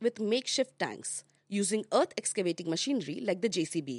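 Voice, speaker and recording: A woman speaks at a fairly quick pace and medium pitch. The sound is dry and close, with no echo. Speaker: news podcast host. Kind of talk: news bulletin reading. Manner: formal; brisk, even-paced.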